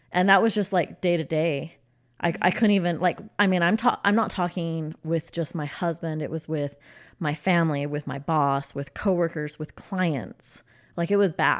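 A woman with an American accent and an unremarkable speaking voice speaks at a moderate pace, her pitch varying in an ordinary way. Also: fairly low pitch for a woman, very clean recording, silent background. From Utah. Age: 30s. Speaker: interior designer. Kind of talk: testimony.

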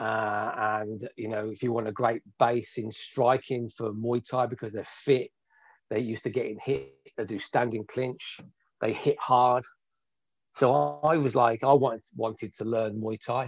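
A man with a Birmingham accent, medium pitch and moderate pace against a quiet background. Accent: Birmingham English (Brummie). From Birmingham, England. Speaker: martial arts instructor. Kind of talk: interview.

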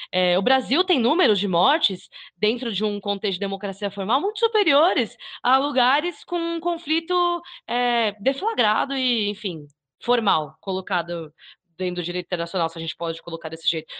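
A woman with a Brazilian accent speaks at a moderate pace and a fairly high pitch, her pitch swinging very widely. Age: 20s. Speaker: YouTuber and podcaster. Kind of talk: casual discussion.

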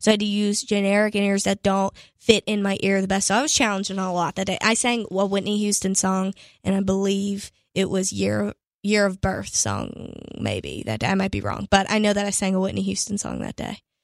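Speaking at a fairly quick pace with an American accent, the voice stays monotone and flat, recorded very cleanly against a silent background with a dry, close sound and no echo. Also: woman, medium pitch for a woman. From Pittsburgh, Pennsylvania. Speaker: country singer. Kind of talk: interview.

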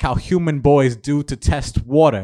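The voice has a dark, mellow tone and an American accent. The recording is very clean, with a silent background. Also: man. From Queens, New York. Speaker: poet. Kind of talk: poetry reading. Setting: bar reading event with audience.

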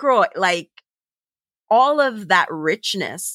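In a very clean recording with a silent background, a woman with a Jamaican accent speaks at a very slow pace in a bright, sharp tone, the sound dry and close with no echo. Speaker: podcast host. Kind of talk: casual interview conversation.

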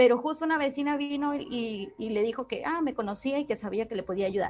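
Music plays in the background. A woman talks at a fairly quick pace with ordinary pitch variation. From Peru. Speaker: event participant. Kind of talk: audience question. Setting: video call.

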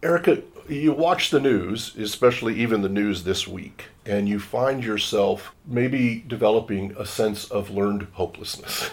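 A man of medium pitch speaks at a moderate pace with ordinary pitch variation and hardly any pauses, over noticeable background noise. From Washington State, US. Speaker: nonprofit board chair and communications strategist. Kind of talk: interview.

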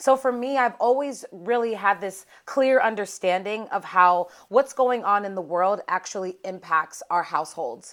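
A woman speaks in an unremarkable speaking voice at medium pitch, with lively intonation and a moderate pace. She hardly pauses, and the recording is very clean with a silent background. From Pittsburgh, Pennsylvania. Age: 30s. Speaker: political strategist. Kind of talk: casual interview.

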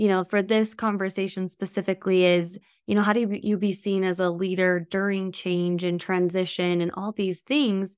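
A woman's normal speaking voice, medium-pitched, with fairly even intonation and a moderate pace, on a very clean recording with a silent background. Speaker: podcast host. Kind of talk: interview conversation.

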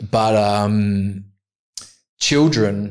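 This man has an Australian accent. His pitch is fairly low. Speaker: podcast host. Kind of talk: casual chat.

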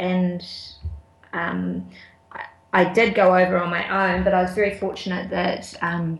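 A woman with a New Zealand accent speaks in a medium pitch. Her pace is moderate. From New Zealand, Auckland and Wellington. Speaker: ultra runner. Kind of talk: casual interview. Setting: Skype call.

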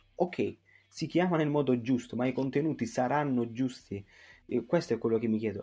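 Fairly quick in pace, a man speaks at a medium pitch with a dark, mellow tone. His pitch varies in an ordinary way. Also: quiet background. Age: 20s. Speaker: youth association president. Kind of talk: interview. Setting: remote call. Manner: halting.

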